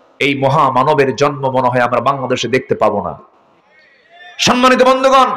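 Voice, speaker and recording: Loudness stays very even over noticeable background noise. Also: man. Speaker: Islamic preacher (waz speaker). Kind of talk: Islamic sermon (waz mahfil) delivered live to an audience.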